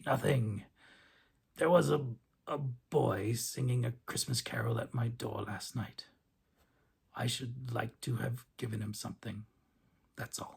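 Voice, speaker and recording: A man puts on a raspy character voice at a medium pitch. He keeps a moderate pace with long, frequent pauses. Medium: read story. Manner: between laughing and crying, excited.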